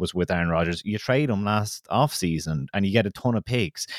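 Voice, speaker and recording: On a very clean, dry, close recording with a silent background, a man with an Irish accent speaks in an animated, enthusiastic tone at a fairly low pitch with ordinary pitch variation. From Kildare, Ireland. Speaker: podcast co-host. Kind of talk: casual sports preview chat.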